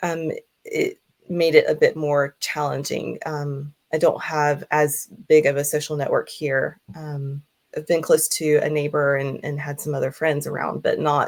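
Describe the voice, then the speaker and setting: A woman's very deep, low voice in an American accent, flat and monotone at a fairly slow pace, on a very clean recording with a silent background. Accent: American accent, liked by others. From US South, Georgia. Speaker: hypnotherapist. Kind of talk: interview. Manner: hesitant, many fillers.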